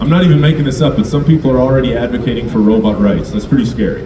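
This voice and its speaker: A man with a Canadian accent talks at a very fast pace, with audible room echo and noticeable background noise. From Alberta, Canada. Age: 30s. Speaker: comedian. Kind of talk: stand-up. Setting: stage with audience.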